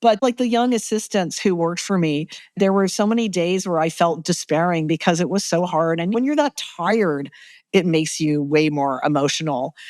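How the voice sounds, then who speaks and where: An unremarkable speaking voice in a Canadian accent, with lively intonation at a moderate pace. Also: woman, fairly low pitch for a woman. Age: 60s. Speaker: photojournalist and documentary filmmaker. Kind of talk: interview. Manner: conversational, frequent fillers like 'like' and 'you know'.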